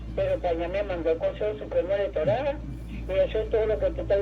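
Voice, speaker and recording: Noticeable background noise runs through the clip. The woman speaking keeps a moderate pace. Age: 70s. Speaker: caller. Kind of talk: call-in comment.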